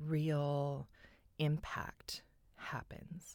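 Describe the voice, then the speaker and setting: A woman with a Californian accent speaks at a very deep, low pitch. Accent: Californian American English. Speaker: tarot reader and podcaster. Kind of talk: solo podcast monologue.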